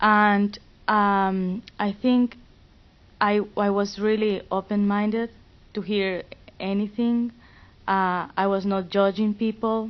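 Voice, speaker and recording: A woman's medium-pitched voice moves at a very slow pace with long, frequent pauses. Her intonation is monotone and flat, and her loudness stays very even. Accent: Spanish. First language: Spanish. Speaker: student fellow. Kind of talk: panel discussion.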